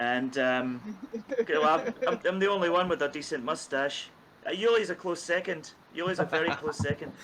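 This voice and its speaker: A man with a Scottish accent speaks at a high pitch over noticeable background noise. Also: lively intonation, moderate pace. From Scotland, east coast. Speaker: bass player in a band. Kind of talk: casual chat.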